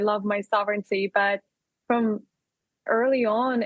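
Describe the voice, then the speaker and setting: A woman with a strong Russian accent speaks at a moderate pace, fairly high in pitch, with fairly even intonation. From Russia, Urals region. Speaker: entrepreneur. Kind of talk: interview.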